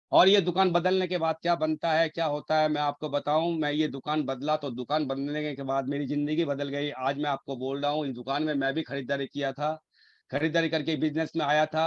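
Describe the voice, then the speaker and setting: A man speaks at a moderate pace, fairly high in pitch with monotone, flat intonation. The sound is dry and close with no echo, against a quiet background. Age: 50s. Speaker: network marketing leader. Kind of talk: motivational business pitch. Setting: video call. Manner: repetitive emphatic.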